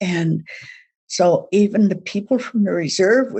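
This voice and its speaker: Somewhat breathy and lively in intonation, a woman's voice carries the speech. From Saskatchewan, Canada. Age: old. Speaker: Métis elder. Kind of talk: testimony.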